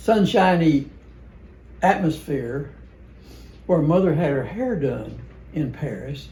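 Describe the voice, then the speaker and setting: Speaking very slowly with a Southern US accent, a man has a dark, mellow tone, and audible room echo surrounds him. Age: 80s+. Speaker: family member reminiscing. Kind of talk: casual chat. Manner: halting.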